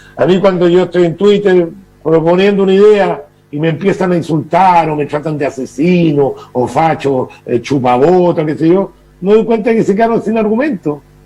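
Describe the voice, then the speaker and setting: A man speaks at a moderate pace in a high pitch. Music plays in the background. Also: ordinary pitch variation. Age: 60s. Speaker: political commentator. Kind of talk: TV interview.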